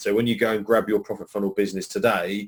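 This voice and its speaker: A man with a British accent speaks at a fairly low pitch. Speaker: online marketing trainer. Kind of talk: live webinar training. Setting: live webinar. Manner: fast.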